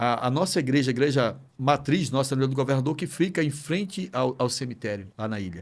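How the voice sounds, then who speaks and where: In a very clean recording with a silent background, a man uses an ordinary speaking voice at medium pitch with lively intonation. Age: 60s. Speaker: pastor. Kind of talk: podcast interview.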